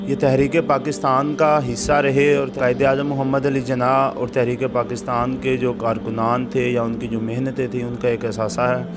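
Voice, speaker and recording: A man of medium pitch speaks with fairly even intonation while music plays in the background. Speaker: TV show host. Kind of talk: interview show introduction.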